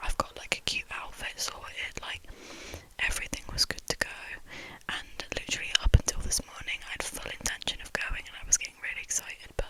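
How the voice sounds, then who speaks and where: Someone whispers at a fairly quick pace with big swings in loudness over noticeable background noise. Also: woman. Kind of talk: ASMR whispered ramble from bed. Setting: lying in bed. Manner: whispered, soft-spoken, rambling.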